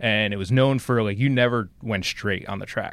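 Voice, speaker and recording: A man's normal speaking voice, medium in pitch, with an American accent, on a very clean recording with a silent background. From New Jersey. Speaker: racing social media manager. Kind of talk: interview. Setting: small room at a speedway.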